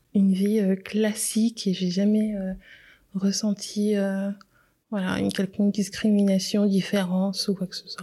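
A woman speaks in a monotone, flat delivery at medium pitch, her voice somewhat breathy with a dark, mellow tone. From Switzerland, Geneva. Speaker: communications professional. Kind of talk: testimony.

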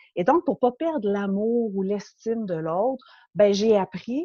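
A woman speaks at medium pitch with a dark, mellow tone and lively intonation. Her fairly slow delivery sounds dry and close, with no echo. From Quebec, Montreal. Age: 40s. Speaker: podcast guest sharing life story. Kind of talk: personal testimony interview. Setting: remote interview.

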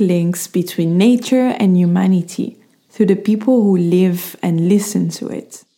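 A woman with a non-native accent, medium pitch, fairly slow pace and fairly even intonation. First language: not English. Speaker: podcast host. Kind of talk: scripted reading of own written essay, with casual intro.

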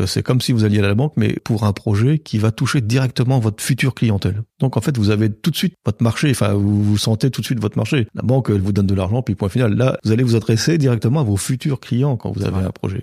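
A man speaks at a fairly quick pace with hardly any pauses, his medium-pitched voice dark, mellow and somewhat breathy, with ordinary pitch variation. The sound is dry and close with no echo, on a very clean recording with a silent background. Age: 50s. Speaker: western village owner, former IT director. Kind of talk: casual interview.

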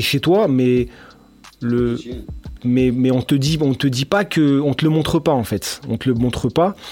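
Here a man speaks at a fairly slow pace. His pitch is fairly high, with ordinary pitch variation. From Lyon, France. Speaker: podcast host. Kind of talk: casual chat.

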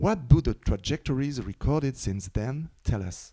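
Spoken with a French accent at a moderate pace, the voice has a dark, mellow tone. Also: man. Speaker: podcast host. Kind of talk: interview. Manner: reading prepared questions.

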